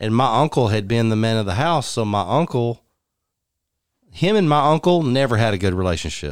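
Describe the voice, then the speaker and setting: Medium-pitched male voice, animated in tone, with lively intonation at a fairly quick pace, on a very clean recording with a silent background. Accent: Texan. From West Texas (Odessa). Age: 40s. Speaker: country musician. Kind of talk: casual chat.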